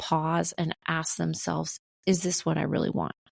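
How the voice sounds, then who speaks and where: At a moderate pace, a woman talks in a calm tone with a dark, mellow quality, her voice dry and close with no echo on a very clean recording over a silent background. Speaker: keynote speaker and artist. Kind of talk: interview.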